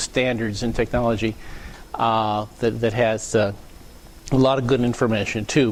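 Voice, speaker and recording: This man speaks at a medium pitch. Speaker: technical speaker at user group. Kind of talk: lecture. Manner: loud; halting, many fillers and repeats.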